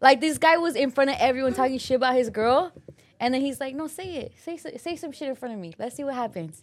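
Talking at a very fast pace, a woman with a high pitch and lively intonation shifts widely in loudness on a very clean recording with a silent background. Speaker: podcast co-host. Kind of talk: casual chat.

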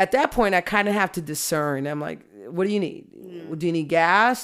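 A plain, everyday voice at a fairly quick pace, with ordinary pitch variation. The recording is very clean, with a silent background. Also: woman. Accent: American. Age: 50s. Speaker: judge. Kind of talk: casual chat.

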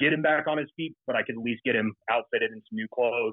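This man has an ordinary speaking voice and an American accent. His pitch is medium, with ordinary variation. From Colorado (Fort Collins). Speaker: Marine Corps and police veteran, business founder. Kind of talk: casual interview chat.

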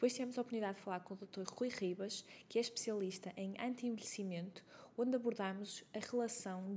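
Somewhat breathy and dark, mellow in tone, a woman talks at a fairly quick pace and fairly high pitch with fairly even intonation. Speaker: podcast host, health coach. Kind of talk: scripted introduction; interview.

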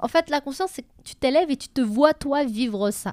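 A dark, mellow tone with lively intonation, dry and close with no echo, in a very clean recording with a silent background. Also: woman. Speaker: podcast co-host. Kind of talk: casual chat. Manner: fast.

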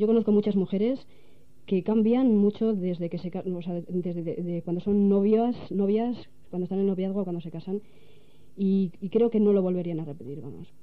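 A woman talks at a moderate pace and a medium pitch. Her pitch varies in an ordinary way. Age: 20s. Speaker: director of a media outlet. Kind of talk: radio interview. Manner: halting.

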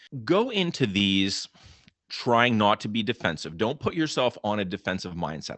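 At a moderate pace, a man with a plain, everyday voice speaks with an American accent and a fairly low pitch. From Western Pennsylvania. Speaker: college instructor. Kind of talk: interview advice.

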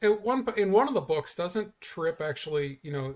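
This is a man's voice. It sounds somewhat breathy. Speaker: guest. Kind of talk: casual chat.

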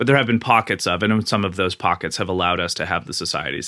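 A very fast, bright, sharp voice with a Canadian accent, ordinary pitch variation, and a very clean recording with a silent background. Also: man. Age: 30s. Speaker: podcaster, book discussion host. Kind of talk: casual conversational interview.

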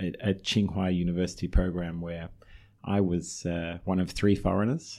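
In an Australian accent, a man with a very deep, low pitch speaks in a dark, mellow tone at a moderate pace. His intonation is flat and monotone, and the recording is very clean with a silent background. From Australia (Melbourne). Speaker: real estate investment executive. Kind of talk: interview.

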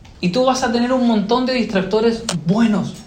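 A man speaks with lively intonation. Background noise is noticeable, and room echo is audible. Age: 30s. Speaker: pastor. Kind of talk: sermon. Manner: halting, repeats words.

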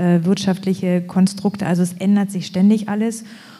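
At a moderate pace, a woman speaks at medium pitch in a monotone with flat intonation. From eastern Germany, Lusatia (Boxberg). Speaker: association chair. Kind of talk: live panel discussion. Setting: stage with live audience.

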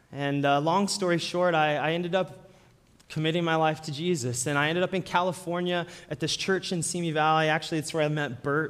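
This man has a plain, everyday voice, pitched fairly high. He talks at a fairly quick pace with fairly even intonation. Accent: American. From Colorado, Denver. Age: 30s. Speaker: guest preacher. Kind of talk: sermon.

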